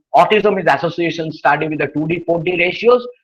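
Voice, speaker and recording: This man speaks at a fairly quick pace with a high-pitched voice. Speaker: anthropology professor, invited speaker. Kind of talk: academic webinar lecture. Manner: fast, hurried.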